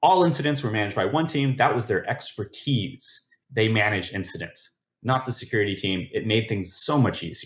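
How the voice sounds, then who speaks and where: A somewhat breathy male voice at medium pitch, fairly quick in pace, with lively intonation. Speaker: conference speaker on application security. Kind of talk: conference talk. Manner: fast.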